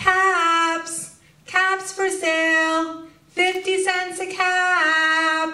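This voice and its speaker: An extremely high, squeaky put-on character voice moves at a very slow pace in a monotone, flat intonation. The sound carries an audible echo. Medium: read story. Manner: calling, repetitive.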